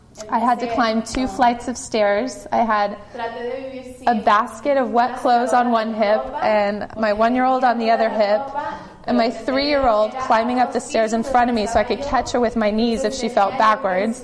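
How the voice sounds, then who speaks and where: Noticeable background noise sits behind a woman with a fairly high pitch who speaks in a monotone, flat way at a moderate pace. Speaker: church member. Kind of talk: testimony.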